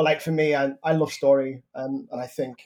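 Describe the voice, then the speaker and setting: A man speaks at a moderate pace. He has a Liverpool accent. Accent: Scouse. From Merseyside, northern England. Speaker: playwright. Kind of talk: interview. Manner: halting.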